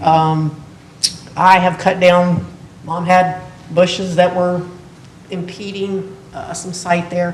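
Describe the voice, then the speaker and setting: A woman with an American accent speaks at a very slow pace in a fairly low pitch, with noticeable background noise and audible room echo. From Morgantown, West Virginia. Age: 60s. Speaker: retired teacher and coach, resident applicant. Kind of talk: public hearing testimony. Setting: municipal board meeting.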